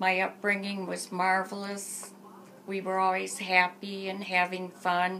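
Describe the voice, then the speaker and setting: Noticeable background noise sits behind a woman with an American accent. She speaks at a fairly slow pace with monotone, flat intonation. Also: medium pitch for a woman. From Michigan, Port Huron area. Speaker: interviewee recounting her life. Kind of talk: oral history interview.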